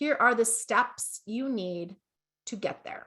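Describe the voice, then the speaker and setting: Animated and bright with a sharp tone, a woman speaks with a slight Canadian accent and ordinary pitch variation. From Canada. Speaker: business coach. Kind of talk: online masterclass. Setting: Facebook livestream.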